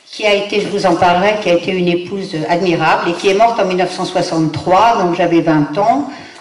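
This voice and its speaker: A woman at a fairly quick pace with hardly any pauses and fairly even intonation, amid audible room echo and noticeable background noise. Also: medium pitch for a woman. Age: 70s. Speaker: guest lecturer, granddaughter of an aviation pioneer. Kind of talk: lecture. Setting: conference room with audience. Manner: hesitant, many fillers.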